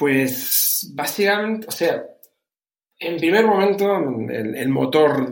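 A man with ordinary pitch variation in audible room echo. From Canary Islands, Spain. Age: 40s. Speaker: entrepreneur. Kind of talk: interview. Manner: halting, repeats words.

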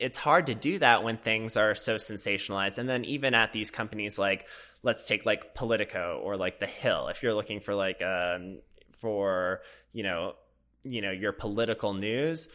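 An American accent with a bright, sharp tone, ordinary pitch variation and a moderate pace, in a very clean recording with a silent background. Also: man, medium pitch for a man. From US Midwest, Minnesota. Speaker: filmmaker and PR professional. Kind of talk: casual chat. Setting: in the mountains.

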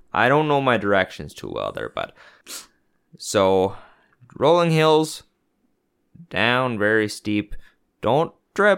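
A man with an American accent speaks at a very slow pace, his pitch swinging very widely, with long, frequent pauses on a very clean recording with a silent background. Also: medium pitch for a man. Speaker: podcast co-host. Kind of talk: casual banter. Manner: joking, frequent laughter.

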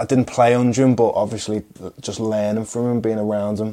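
A man talks with a Liverpool accent. His pitch is fairly low. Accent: Scouse. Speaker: professional footballer. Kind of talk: casual chat.

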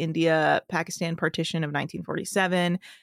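In a very clean recording with a silent background and a dry, close sound with no echo, a woman with an American accent speaks at a moderate pace, her fairly low pitch held in monotone, flat intonation. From US, Bay Area of California. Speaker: comedy producer and podcast host. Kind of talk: casual interview chat.

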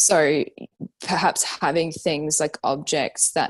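Speaking with an Australian accent, a woman uses a very deep, low pitch and fairly even intonation. Her pace is fairly slow against a quiet background. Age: 30s. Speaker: fashion designer and brand founder. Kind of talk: casual interview chat.

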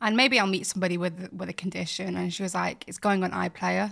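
Here a woman talks with a Yorkshire accent. She goes at a very fast pace. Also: very clean recording, silent background. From Bradford, West Yorkshire, England. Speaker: fashion creative and presenter. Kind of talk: casual interview chat.

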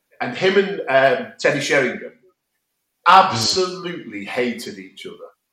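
Speaking at a moderate pace with an English accent, a man makes big swings in loudness and leaves long, frequent pauses. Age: 50s. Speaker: podcast host. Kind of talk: casual chat. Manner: halting.

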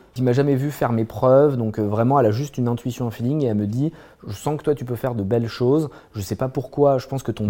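At a very fast pace, a man with a dark, mellow tone and medium pitch speaks with fairly even intonation. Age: 30s. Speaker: entrepreneur. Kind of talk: interview. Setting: on a barge by a fireplace.

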